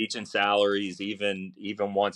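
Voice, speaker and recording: Moderate pace against a quiet background. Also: man. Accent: Philadelphia. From South Jersey, near Philadelphia. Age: 40s. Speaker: barbecue chef and teacher. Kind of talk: casual interview chat.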